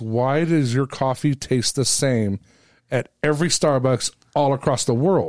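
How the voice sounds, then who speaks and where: A man with a plain, everyday voice and an American accent speaks at a medium pitch with ordinary pitch variation, in a very clean recording with a silent background and a dry, close sound with no echo. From California. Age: 50s. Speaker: podcast host. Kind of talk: casual chat.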